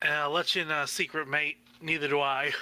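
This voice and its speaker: Putting on a raspy character voice, a man speaks fairly quickly in a fairly high pitch, with monotone, flat intonation and very even loudness. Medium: actual play. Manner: friendly, casual.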